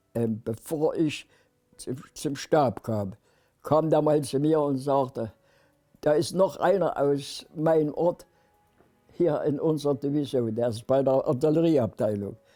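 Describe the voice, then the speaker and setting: Music in the background behind a man's fairly high pitch, with ordinary pitch variation, a very slow pace and long, frequent pauses. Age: 90s. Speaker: war veteran. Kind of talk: testimony. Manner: halting.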